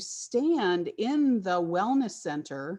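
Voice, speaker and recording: A woman with a fairly high pitch sounds somewhat breathy with a dark, mellow tone and very wide pitch swings. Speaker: interior designer presenting a project. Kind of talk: webinar presentation.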